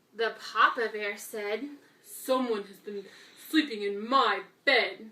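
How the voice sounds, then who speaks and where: Using a cartoonish character voice, a woman speaks fairly slowly at a fairly high pitch. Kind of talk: children's story reading. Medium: puppet.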